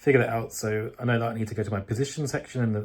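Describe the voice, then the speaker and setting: Speaking very fast in a fairly low, somewhat breathy voice with fairly even intonation, a man is heard on a very clean recording with a silent background. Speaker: day trader vlogger. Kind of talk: casual vlog talk.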